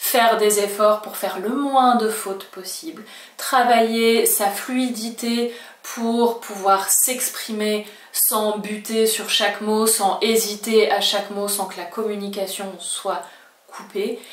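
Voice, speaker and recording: In a slight French accent, a woman talks very slowly at a fairly high pitch with monotone, flat intonation, over noticeable background noise and audible room echo. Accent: slight French accent when speaking Spanish. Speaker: Spanish language teacher. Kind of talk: video lesson.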